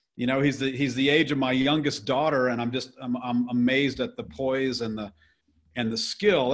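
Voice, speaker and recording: Here is an unremarkable speaking voice, a man with an American accent. He talks at a fairly quick pace and medium pitch, with ordinary pitch variation. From US South. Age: 60s. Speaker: real estate investor. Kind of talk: podcast interview. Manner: casual, with frequent fillers and repetitions.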